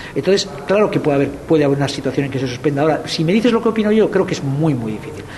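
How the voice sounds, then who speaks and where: A man's fairly high voice, very fast with hardly any pauses and lively intonation, over noticeable background noise. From Basque Country, Spain (Rentería). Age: 50s. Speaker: film festival director. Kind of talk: interview.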